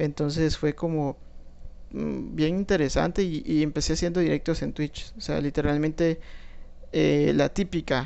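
A man with a Guatemalan accent speaks at a fairly slow pace. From Guatemala, Guatemala City. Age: 20s. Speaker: podcaster and law student. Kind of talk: solo monologue. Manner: hesitant, many fillers.

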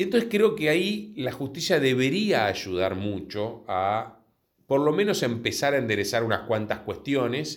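Speaking at a fairly slow pace, a man uses a fairly high pitch with very wide pitch swings. The recording is very clean, with a silent background. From Buenos Aires, Argentina (Villa Urquiza). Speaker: insurance company executive. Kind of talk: interview.

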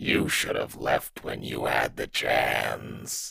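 Very slowly, a man delivers a put-on character voice with a raspy edge. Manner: menacing.

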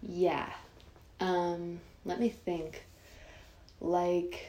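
Audible room echo surrounds a woman speaking with an American accent at a fairly low pitch. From Northern California, Sonoma County. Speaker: young activist. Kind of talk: casual chat.

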